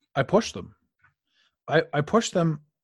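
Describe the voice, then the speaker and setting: Against a quiet background, a man with a Canadian accent sounds somewhat breathy, his pitch swinging very widely. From Canada, Ottawa. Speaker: life coach. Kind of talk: podcast interview. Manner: animated.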